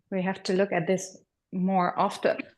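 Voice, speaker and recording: There is a quiet background behind this woman's voice. She has a fairly low pitch and a German accent. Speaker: workshop participant. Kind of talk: casual sharing.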